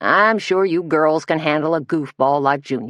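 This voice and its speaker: This is a gruff, put-on character voice at a middle pitch. It moves at a moderate pace. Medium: read story. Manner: gruff, deliberate.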